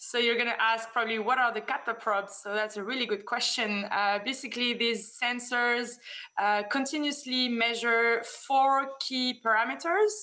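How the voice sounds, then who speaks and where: In a room with audible echo, a woman with a French accent talks at a moderate pace in a fairly high, bright, sharp tone. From France. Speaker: business development manager, conference speaker. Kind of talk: conference presentation. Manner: hesitant, many fillers.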